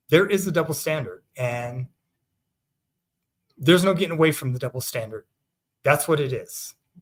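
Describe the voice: With lively intonation and a fairly high pitch, a man talks at a moderate pace.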